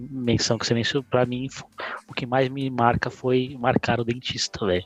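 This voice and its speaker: A man speaks at a moderate pace with a medium pitch. Music plays in the background. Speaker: podcast co-host and teacher. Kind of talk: casual chat. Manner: halting.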